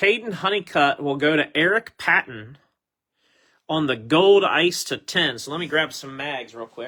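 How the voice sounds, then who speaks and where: Lively in intonation and fairly slow, a man with a fairly high pitch and a bright, sharp tone speaks with big swings in loudness. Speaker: sports card group break host. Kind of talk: live card break commentary. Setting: home recording room. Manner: slightly slurred.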